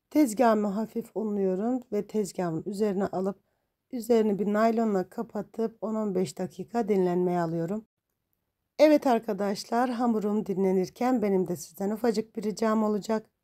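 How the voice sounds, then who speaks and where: With a dark, mellow tone and a medium pitch, a woman talks at a moderate pace with ordinary pitch variation on a very clean recording with a silent background. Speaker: cooking channel host. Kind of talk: voice-over tutorial.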